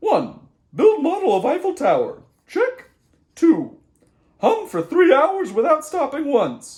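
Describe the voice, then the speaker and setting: Using a put-on character voice at an extremely high pitch, a man talks at a fairly slow pace with long, frequent pauses. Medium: read story. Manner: smug, matter-of-fact.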